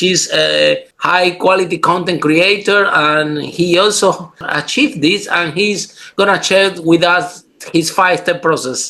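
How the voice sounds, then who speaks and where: A man speaks at a fairly slow pace. His voice is raised and projected. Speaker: podcast host. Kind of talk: podcast interview talk.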